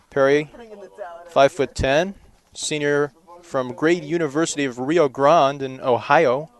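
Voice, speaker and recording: A man's fairly high-pitched voice at a fairly slow pace, with long, frequent pauses, fairly even intonation, and a dry, close sound with no echo. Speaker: baseball play-by-play announcer. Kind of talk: live sports play-by-play broadcast.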